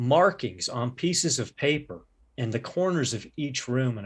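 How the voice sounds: Natural voice for reading, nothing more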